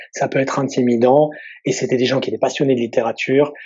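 A man speaks at a very fast pace. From southeastern France near Italy. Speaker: novelist. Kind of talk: interview. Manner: halting.

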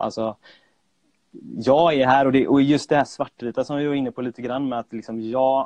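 In a normal speaking voice, a man speaks at a moderate pace with medium pitch and fairly even intonation, the sound dry and close with no echo. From Sweden, Gothenburg. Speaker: freelance graphic designer and illustrator. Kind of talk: casual chat. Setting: remote call. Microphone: remote audio, sometimes poor.

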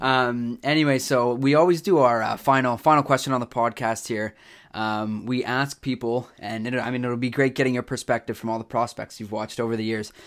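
A man with a Canadian accent talks at a fairly quick pace in a medium pitch with fairly even intonation. He has a plain, everyday voice, on a very clean recording with a silent background. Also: hardly any pauses. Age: 20s. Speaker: podcast host. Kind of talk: casual interview. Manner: many filler words.

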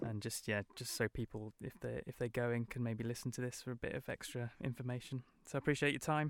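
Barely pausing, a man with a British accent rattles along at a very fast pace and a medium pitch. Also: fairly even intonation, dry, close sound with no echo. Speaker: podcast host. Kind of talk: interview. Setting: studio.

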